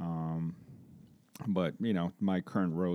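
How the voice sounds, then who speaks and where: A fairly quick delivery in a Brazilian accent, dark and mellow in tone, with a dry, close sound, no echo, and a very clean recording over a silent background. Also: man. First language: Portuguese. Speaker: construction safety manager. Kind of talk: interview. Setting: in-person at an office.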